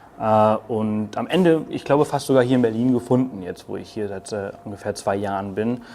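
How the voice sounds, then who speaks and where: A man with a Spanish accent speaks at a medium pitch in a dark, mellow tone. His pace is moderate, with ordinary pitch variation and hardly any pauses. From Mallorca, Spain. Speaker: travel blogger, digital nomad. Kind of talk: interview. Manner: hesitant, many fillers.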